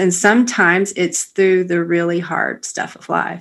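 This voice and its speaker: An unremarkable speaking voice at a moderate pace with fairly even intonation, very cleanly recorded over a silent background. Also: woman. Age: 50s. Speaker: podcast host. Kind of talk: faith podcast interview.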